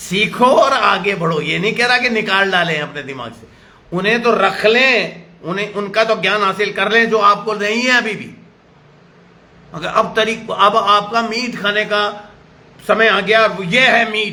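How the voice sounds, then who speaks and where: A man speaks in a raised, projected voice at high pitch, his tone animated. Noticeable background noise and audible room echo come through. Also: ordinary pitch variation. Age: 70s. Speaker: pastor. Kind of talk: sermon.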